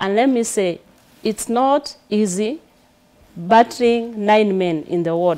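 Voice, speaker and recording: A woman with a Kenyan accent talks at a very slow pace. Her pitch is fairly high, with ordinary variation. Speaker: political candidate. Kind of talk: studio interview. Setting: studio. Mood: animated, smiling, confident. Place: studio.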